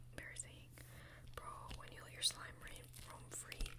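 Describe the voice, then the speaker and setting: A whisper against noticeable background noise. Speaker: ASMR creator. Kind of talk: whisper ramble. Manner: whispered; high energy.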